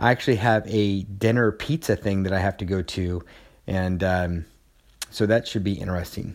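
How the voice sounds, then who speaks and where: The speaker is a man with a moderate pace. His pitch variation is ordinary. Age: 40s. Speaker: podcast host documenting weight loss. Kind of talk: personal audio log. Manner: animated.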